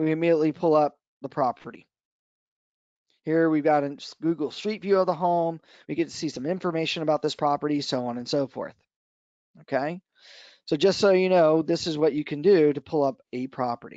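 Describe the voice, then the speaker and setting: A man with a fairly high pitch talks at a fairly quick pace in an American accent, using fairly even intonation and taking long, frequent pauses. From US East Coast, Washington D.C. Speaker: real estate association trainer. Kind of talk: software tutorial webinar. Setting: online webinar. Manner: fast.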